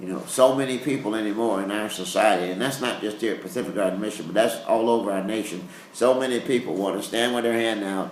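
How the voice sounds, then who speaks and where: A man speaks fairly quickly in a fairly low voice with ordinary pitch variation. Room echo and background noise are noticeable. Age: 60s. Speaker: pastor. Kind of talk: interview. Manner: halting.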